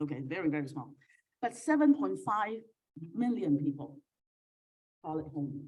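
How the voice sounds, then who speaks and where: A woman's very deep, low pitch with a Cantonese accent, very wide pitch swings, a moderate pace and long, frequent pauses. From Hong Kong. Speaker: keynote speaker, academic. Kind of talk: keynote lecture with slides. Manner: hesitant, many fillers.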